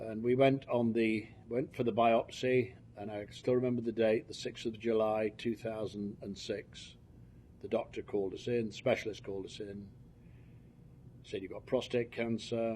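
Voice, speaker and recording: A man with a British accent, dark, mellow tone, monotone, flat intonation and moderate pace. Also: medium pitch for a man. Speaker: cancer patient. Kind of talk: testimony. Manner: halting, with frequent fillers.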